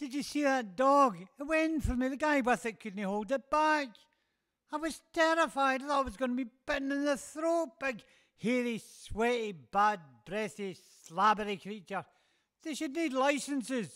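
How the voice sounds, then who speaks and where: A man puts on a cartoonish character voice at an extremely high pitch and a moderate pace, captured in a very clean recording with a silent background. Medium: puppet show. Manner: frightened, ranting.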